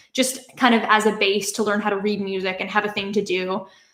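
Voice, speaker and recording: With a Canadian accent, a woman talks at a fairly quick pace in a plain, everyday voice of medium pitch. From Canada. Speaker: YouTuber. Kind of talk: livestream Q&A. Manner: casual, filler-heavy.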